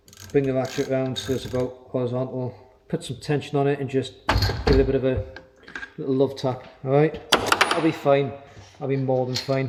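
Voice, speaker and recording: Mumbling in a monotone, flat delivery at a fairly quick pace, the speaker leaves long, frequent pauses over noticeable background noise. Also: man, medium pitch for a man. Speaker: motorcycle DIY youtuber. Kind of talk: tutorial.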